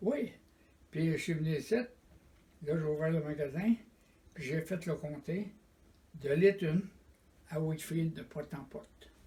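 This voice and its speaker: Speaking at a fairly slow pace with long, frequent pauses, a man has a fairly high pitch, a dark, mellow tone and ordinary pitch variation. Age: 90s. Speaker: retired door-to-door salesman. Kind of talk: oral history interview.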